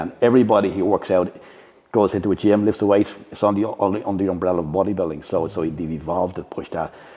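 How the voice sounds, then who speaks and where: In an Irish accent, a man with a very deep, low pitch and a dark, mellow tone talks very fast with fairly even intonation. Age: 60s. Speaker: bodybuilding coach and judge. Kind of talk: podcast interview.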